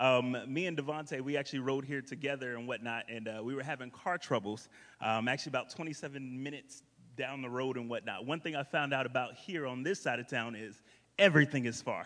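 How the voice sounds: A fairly bright tone with an American accent moves at a fairly quick pace with few pauses and ordinary pitch variation. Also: man, medium pitch for a man.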